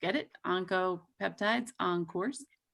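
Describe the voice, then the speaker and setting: A woman's normal speaking voice at a moderate pace with ordinary pitch variation. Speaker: pharmaceutical company representative. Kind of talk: presentation. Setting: video call.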